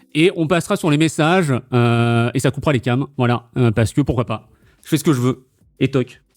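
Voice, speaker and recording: A man at medium pitch and moderate pace, dry and close with no echo, on a very clean recording with a silent background. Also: ordinary pitch variation. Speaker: quiz host and streamer. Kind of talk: casual quiz-show chat explaining rules. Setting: live stream on Discord call. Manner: loud; animated, with fillers.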